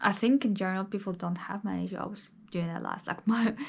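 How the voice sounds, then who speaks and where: With fairly even intonation, a woman talks at a medium pitch. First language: not English. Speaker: vlogger. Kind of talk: casual vlog monologue. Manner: conversational, with hesitations.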